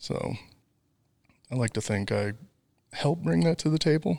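In a Wisconsin accent, a man speaks at a moderate pace on a very clean recording with a silent background. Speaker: fiber optic network designer. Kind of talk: casual interview.

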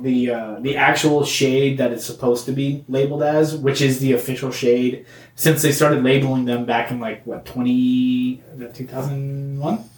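A man speaks at a moderate pace with fairly even intonation in a normal speaking voice. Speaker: comedy podcast host. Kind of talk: angry rant, mock-outraged comedic tirade about crayon colors. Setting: studio.

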